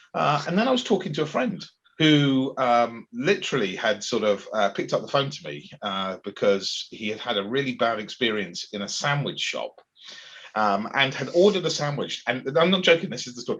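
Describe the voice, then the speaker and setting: Speaking with a County Durham accent, a man at medium pitch moves at a moderate pace, with very wide pitch swings and big shifts in loudness. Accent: northern English (Darlington). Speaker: agile coach and event host. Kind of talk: casual chat.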